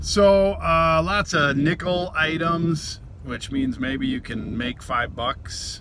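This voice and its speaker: A man speaks with an American accent. Audible room echo and noticeable background noise surround his voice. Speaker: vlogger, reseller. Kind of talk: casual vlog narration. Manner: mumbling, casual; talkative.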